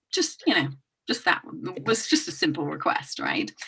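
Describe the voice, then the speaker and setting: With a British accent, a woman speaks at a moderate pace. Her tone is bright and sharp, and her pitch swings very widely. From England and Hong Kong. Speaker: intuitive business coach. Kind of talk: podcast interview. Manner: hesitant, many fillers.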